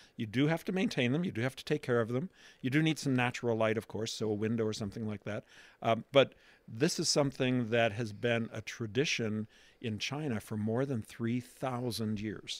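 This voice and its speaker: A normal speaking voice comes from a man at medium pitch with ordinary pitch variation. He talks at a fairly quick pace on a very clean recording with a silent background. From Pittsburgh, Pennsylvania. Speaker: trade show director. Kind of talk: interview.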